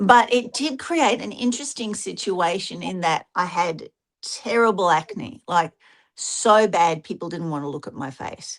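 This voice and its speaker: An unremarkable speaking voice moves at a fairly slow pace with lively intonation and big swings in loudness. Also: woman, medium pitch for a woman. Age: 60s. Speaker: occult podcast panelist. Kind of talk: casual chat.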